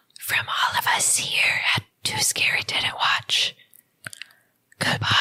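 A whispered put-on character voice at a fairly slow pace. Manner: whispering.

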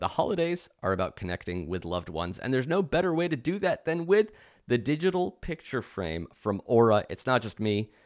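A man talks at a fairly quick pace with a medium pitch and vocal fry. His pitch swings very widely, and the recording is very clean with a silent background. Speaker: comedy show host. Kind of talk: ad read and banter. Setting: stage with audience.

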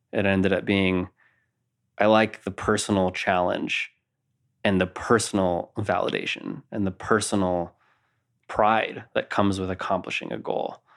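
A man with a normal speaking voice and an American accent, fairly even intonation, a moderate pace and a very clean recording with a silent background. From Napa, California. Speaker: elite boulderer. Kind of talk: casual interview.

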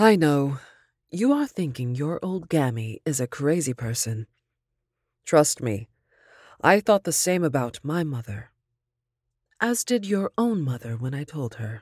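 Over a silent background on a very clean, dry and close recording with no echo, a woman with a very deep, low pitch talks at a fairly slow pace, her pitch swinging very widely between long, frequent pauses. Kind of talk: reading a letter aloud within a horror story. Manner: stern, instructive tone of an old grandmother.

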